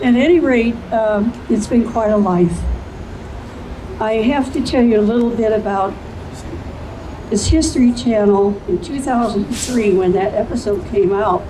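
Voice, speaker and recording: Background noise is noticeable and the room gives an audible echo. A woman speaks fairly slowly in a fairly high pitch, with long, frequent pauses. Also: ordinary pitch variation. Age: 80s+. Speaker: witness. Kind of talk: public speech.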